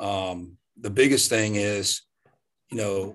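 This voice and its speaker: A man talks with a Southern US accent in a fairly low pitch. The background is quiet. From US South, Louisiana. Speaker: strength coach. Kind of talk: casual chat.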